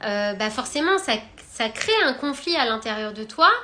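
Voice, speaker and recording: High in pitch, a woman's voice comes through with a bright, sharp tone. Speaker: spiritual wellbeing coach. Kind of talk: live stream talk. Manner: hesitant, many filler words.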